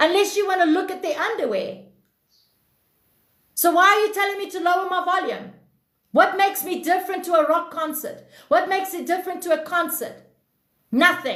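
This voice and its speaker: Loud and at an extremely high pitch, a woman speaks at a fairly quick pace with ordinary pitch variation and long, frequent pauses, with audible room echo. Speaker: livestream self-improvement host. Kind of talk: casual livestream chat.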